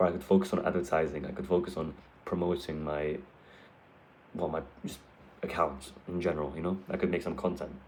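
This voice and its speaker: A man's very deep, low voice in a flat monotone at a fairly quick pace, broken by long, frequent pauses, with audible room echo. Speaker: calisthenics content creator. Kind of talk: casual vlog talk.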